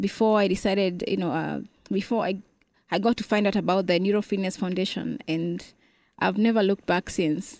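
A woman speaks with a Kenyan accent at medium pitch and a fairly quick pace. Her intonation is fairly even, and the recording is very clean with a silent background. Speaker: gym member with spinal cord injury, wheelchair user. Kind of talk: interview.

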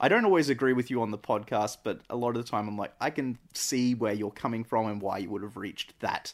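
A man speaks with an Australian accent at a medium pitch and a fairly quick pace. His pitch varies in an ordinary way, and the recording is very clean with a silent background. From Australia (central Queensland). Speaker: podcast host's cousin. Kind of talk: casual chat. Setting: on a couch in an apartment.

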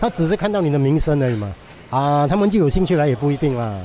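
A man with lively intonation, over noticeable background noise. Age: 60s. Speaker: hawker. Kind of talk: interview testimony. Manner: animated with laughter.

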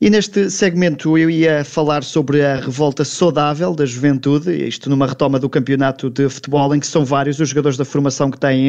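A man talks with fairly even intonation. His pitch sits fairly high. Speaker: radio sports business host. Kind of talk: radio interview hosting.

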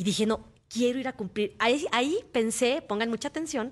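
A woman with a plain, everyday voice and a fairly high pitch talks at a moderate pace against a quiet background. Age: 40s. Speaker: motivational speaker. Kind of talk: interview. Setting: radio studio.

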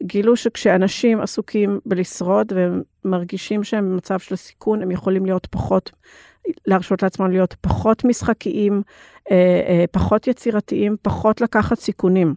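With an English accent, a woman speaks at medium pitch in a dark, mellow tone. Her intonation is fairly even, and the sound is dry and close with no echo. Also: moderate pace, quiet background. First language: English (speaking Hebrew). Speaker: intimacy coordinator for film and TV. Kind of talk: interview. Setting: studio.

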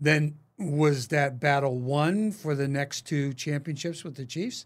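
An unremarkable speaking voice from a man with an American accent, fairly high in pitch, with ordinary pitch variation and a fairly slow pace, on a very clean recording against a silent background. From Pittsburgh, US East Coast. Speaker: podcast host. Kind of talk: casual interview. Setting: studio, face to face.

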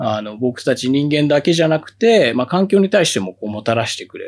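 A man at a moderate pace with very wide pitch swings, on a very clean recording with a silent background. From Tokyo. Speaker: beekeeper. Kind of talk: interview.

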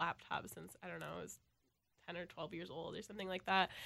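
A woman of medium pitch with an American accent speaks in a bright, sharp tone on a very clean recording with a silent background. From Minnesota, Elk River. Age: 20s. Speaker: college radio music director. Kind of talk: radio interview.

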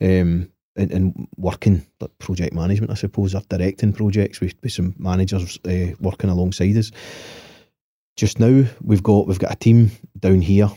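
In a Lanarkshire accent, a man speaks at a moderate pace with a very deep, low pitch and fairly even intonation, the sound dry and close with no echo. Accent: Scottish (Lanarkshire). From Scotland, Motherwell. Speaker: property developer. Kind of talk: casual chat. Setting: studio.

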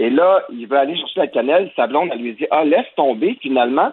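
A man talks at a fairly quick pace with lively intonation. His pitch sits fairly high. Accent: Quebec. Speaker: cultural journalist. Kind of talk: opinion commentary.

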